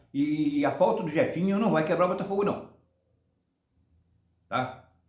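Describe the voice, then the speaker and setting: A man talks at a moderate pace with lively intonation. Audible room echo surrounds his voice. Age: 70s. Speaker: football fan channel host. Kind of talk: casual opinion monologue. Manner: halting, many repetitions and restarts.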